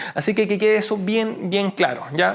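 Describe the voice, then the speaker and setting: A man at a high pitch and moderate pace. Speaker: medical lecturer. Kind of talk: lecture. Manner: halting.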